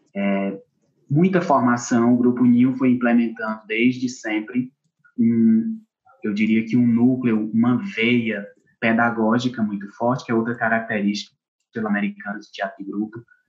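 Using an ordinary speaking voice, a man talks at a medium pitch and moderate pace with fairly even intonation. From Brazil, Ceará interior (Acopiara). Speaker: actor and theatre teacher. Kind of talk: interview conversation.

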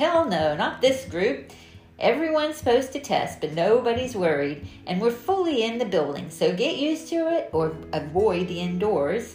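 With music playing behind, a female-sounding put-on character voice drawls at a moderate pace in a fairly high pitch, swinging very widely up and down. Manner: drawling, blunt.

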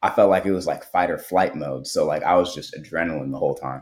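A man with an American accent speaks with vocal fry in a very deep, low voice. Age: 20s. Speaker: tech founder and activist. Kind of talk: casual interview conversation.

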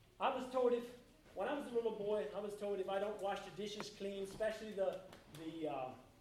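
A man with an American accent and a high pitch, ordinary pitch variation and a fairly quick pace, amid noticeable background noise and audible room echo. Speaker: lay preacher. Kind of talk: sermon. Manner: halting.

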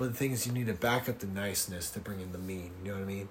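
A man is speaking. His voice is somewhat breathy. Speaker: podcast guest. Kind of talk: casual chat.

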